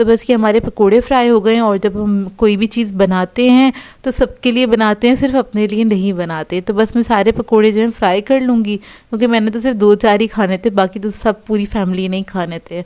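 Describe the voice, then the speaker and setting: A woman's fairly high-pitched voice with a dark, mellow tone, fairly even intonation and hardly any pauses, in a very clean recording with a silent background. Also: moderate pace. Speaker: cooking vlogger. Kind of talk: cooking tutorial, casual chat.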